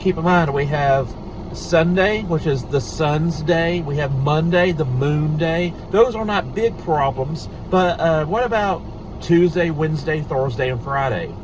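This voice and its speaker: A man with ordinary pitch variation, amid noticeable background noise and audible room echo. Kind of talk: casual talk to camera. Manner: halting, many fillers.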